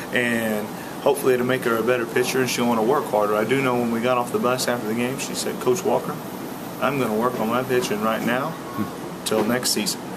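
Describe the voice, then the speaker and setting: A man talks at a very fast pace, with noticeable background noise. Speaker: high school softball coach. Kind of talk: interview answer. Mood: reflective after a loss. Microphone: webcam.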